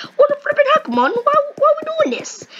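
A squeaky put-on character voice, extremely high in pitch, at a moderate pace. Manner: funny, comical.

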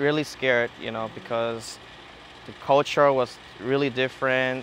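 A man speaks at a moderate pace with monotone, flat intonation. The sound is dry with no echo and has light background noise. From Burma, moved to US as child. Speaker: student. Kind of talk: interview. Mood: calm, reflective. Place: open country. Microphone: lapel.

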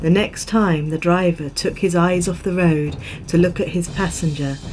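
A woman's fairly low voice with fairly even intonation, at a fairly slow pace, over music in the background. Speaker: storyteller. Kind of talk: ghost story narration. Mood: calm, eerie storytelling tone. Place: home room.

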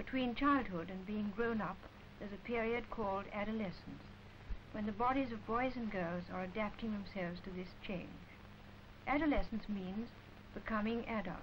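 A woman with an English accent speaks at a fairly high pitch and a moderate pace. Her pitch varies in an ordinary way, with light background noise behind her. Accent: received pronunciation, posh. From England. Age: adult. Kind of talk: educational film narration. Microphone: old recording.

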